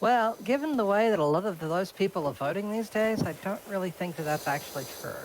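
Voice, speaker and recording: Someone talks with an Australian accent at a fairly quick pace, with hardly any pauses. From eastern Australia. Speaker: streamer. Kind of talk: casual chat.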